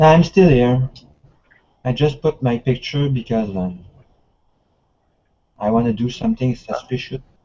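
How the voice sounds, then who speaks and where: A man with a French Canadian accent, ordinary pitch variation, a fairly slow pace and long, frequent pauses. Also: medium pitch for a man. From Quebec. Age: 40s. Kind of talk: casual chat. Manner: halting.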